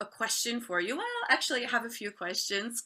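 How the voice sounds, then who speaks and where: A woman with a New York accent speaks at a high pitch. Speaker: podcast host. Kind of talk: interview.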